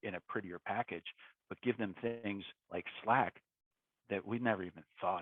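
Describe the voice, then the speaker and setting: Here a man speaks at a moderate pace, his pitch fairly low with ordinary pitch variation. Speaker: tech executive. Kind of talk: casual interview.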